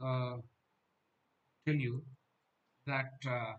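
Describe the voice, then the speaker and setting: Somewhat breathy, a man with a Gujarati accent speaks with fairly even intonation. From Gujarat, India. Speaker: dental exam coaching teacher. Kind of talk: online live class.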